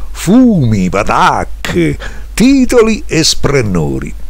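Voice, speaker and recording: There is noticeable background noise behind this recording. A man talks at a very slow pace. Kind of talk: poetry reading.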